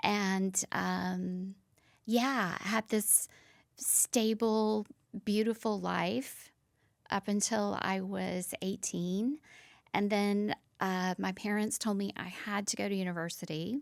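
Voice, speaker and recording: Someone with a Southern US accent speaks at a very slow pace with fairly even intonation, in a very clean recording with a silent background. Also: woman, medium pitch for a woman. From US South, Nashville, Tennessee. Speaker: former fashion model. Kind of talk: interview.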